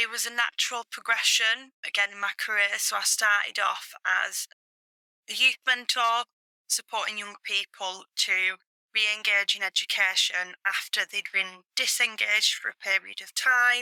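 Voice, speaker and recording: Fairly even intonation and a bright, sharp tone come from a woman with a fairly high pitch. She speaks at a moderate pace in a dry, close sound with no echo. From Oldham, Greater Manchester. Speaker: careers education coordinator. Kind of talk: podcast interview.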